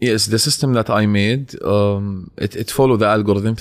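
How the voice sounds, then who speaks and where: A man with an unremarkable speaking voice talks at a fairly quick pace, his fairly low pitch held in fairly even intonation, on a very clean recording with a silent background. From Jordan. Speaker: social media entrepreneur. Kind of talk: casual chat.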